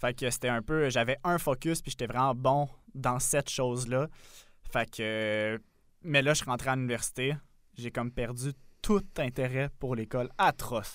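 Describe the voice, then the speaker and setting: In a very clean recording with a silent background, the speech moves at a fairly slow pace with ordinary pitch variation and long, frequent pauses. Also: man, medium pitch for a man. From Quebec, south shore of Montreal. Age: 20s. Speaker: podcast co-host. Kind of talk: casual chat.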